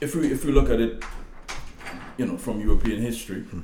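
A man with a Trinidadian accent talks at a fairly quick pace, with ordinary pitch variation. Audible room echo and noticeable background noise surround his voice. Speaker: guest's father. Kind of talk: casual interview chat.

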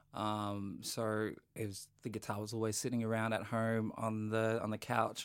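Fairly low male voice, monotone and flat, on a very clean recording with a silent background. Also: moderate pace. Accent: Australian. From North Queensland, Australia. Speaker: singer-songwriter and actor. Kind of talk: casual interview chat.

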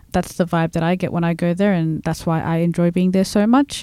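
In a very clean recording with a silent background, a woman with a dark, mellow tone and fairly low pitch speaks at a moderate pace with fairly even intonation. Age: 20s. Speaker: bicultural liaison officer and student. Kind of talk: casual chat. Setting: studio.

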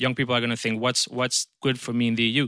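In a Spanish accent, a man speaks with a bright, sharp tone. The recording is very clean, with a silent background and a dry, close sound with no echo. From Spain. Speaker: politician. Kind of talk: panel discussion. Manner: halting.

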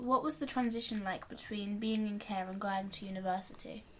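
A woman's unremarkable speaking voice, fairly high in pitch with ordinary pitch variation. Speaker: podcast interviewer. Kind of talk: interview questions.

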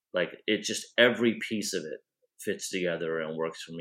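A man with an American accent speaks at a moderate pace in a plain, everyday voice, with ordinary pitch variation. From US Midwest, Iowa. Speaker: author and comic writer. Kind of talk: casual chat.

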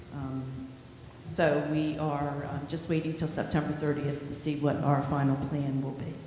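Noticeable background noise runs through the recording. The speech moves at a moderate pace. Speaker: school district finance officer. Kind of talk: budget report. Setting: board meeting.

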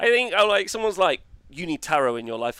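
Over a very clean recording with a silent background, a man talks with very wide pitch swings. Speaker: wargaming podcast host. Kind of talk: casual chat. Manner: loud; hesitant with many fillers.

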